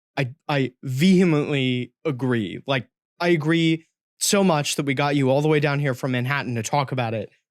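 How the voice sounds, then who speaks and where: A normal speaking voice from a man with an American accent, fairly high in pitch for a man, moderate pace, ordinary pitch variation, dry, close sound with no echo. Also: very clean recording, silent background. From rural US South. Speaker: podcast host. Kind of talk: podcast interview.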